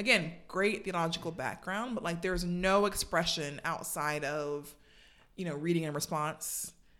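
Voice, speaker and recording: A woman with an American accent and a normal speaking voice, fairly low in pitch, at a moderate pace with ordinary pitch variation. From US South, Savannah, Georgia. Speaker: church member, marketing professional. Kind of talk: casual interview.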